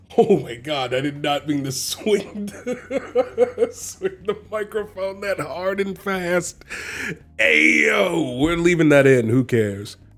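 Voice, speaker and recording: A man speaks at a very slow pace in a high voice with very wide pitch swings. Noticeable background noise can be heard. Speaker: tabletop gaming YouTuber, dungeon master. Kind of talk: casual chat. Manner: animated; slower, taking his time.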